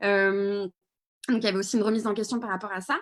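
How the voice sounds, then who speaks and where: This woman's voice has a fairly high pitch. The tone comes across bright and sharp. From Paris region, France. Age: 20s. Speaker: video reporter and activist. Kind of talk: live Q&A answer. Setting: video call livestream. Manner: hesitant, many fillers.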